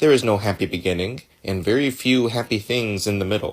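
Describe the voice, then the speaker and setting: A man's fairly low voice with an American accent, a fairly quick pace and ordinary pitch variation. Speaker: ESL teacher. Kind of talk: audiobook read-aloud.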